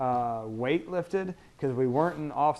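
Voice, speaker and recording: A man's unremarkable speaking voice at medium pitch and a moderate pace. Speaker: high school wrestling coach. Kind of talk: interview. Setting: studio.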